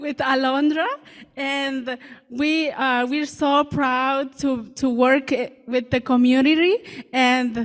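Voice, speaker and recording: Speaking very slowly, a woman uses a high-pitched voice. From Guatemala. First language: Mam. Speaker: community outreach worker. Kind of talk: public speech. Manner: halting.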